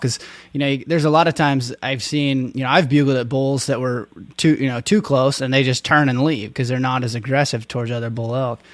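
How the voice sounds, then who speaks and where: On a very clean recording with a silent background, a man with an American accent uses an unremarkable speaking voice at medium pitch with fairly even intonation. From Oregon. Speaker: podcast host. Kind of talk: podcast interview.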